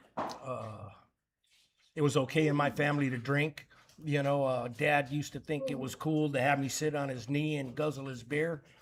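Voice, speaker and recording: This man speaks in a monotone with flat intonation at a moderate pace. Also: fairly high pitch for a man. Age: 60s. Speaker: recovering addict sharing his story. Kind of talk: recovery meeting testimony. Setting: meeting room with audience, microphone. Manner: halting, many fillers.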